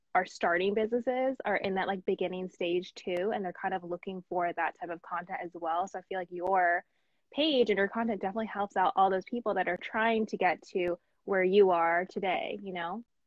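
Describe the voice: A woman talks at a fairly quick pace and medium pitch, with ordinary pitch variation. The sound is dry and close, with no echo.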